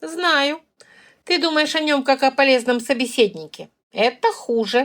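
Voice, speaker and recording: Here a woman puts on a character voice, pitched high. The recording is very clean, with a silent background. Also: moderate pace. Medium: read story. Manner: frank, wry.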